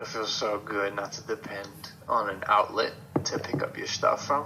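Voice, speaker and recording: A man talks over noticeable background noise. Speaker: film student. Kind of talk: interview answer.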